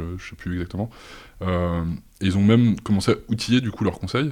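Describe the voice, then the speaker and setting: Talking at a fairly quick pace, a man with a very deep, low pitch keeps his intonation fairly even. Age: 30s. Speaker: data science engineer. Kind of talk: interview. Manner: halting.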